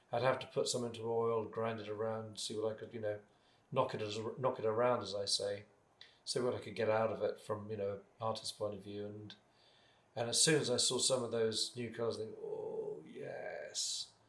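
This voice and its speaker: This man talks at a moderate pace in a British accent. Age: 60s. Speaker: artist and paint maker. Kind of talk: casual interview chat. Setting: home studio. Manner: halting, with many restarts.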